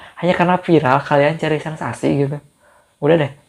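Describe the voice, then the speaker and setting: A man is speaking. His intonation is fairly even. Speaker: YouTuber. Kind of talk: casual Q&A vlog.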